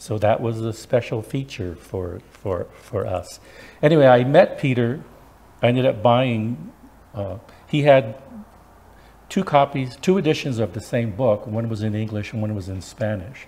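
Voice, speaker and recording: This man's voice has a medium pitch and ordinary pitch variation. It is somewhat breathy, with a dark, mellow tone. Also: moderate pace. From Wyoming and northern New Mexico. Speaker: librarian and special collections director. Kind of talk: lecture. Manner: soft-spoken.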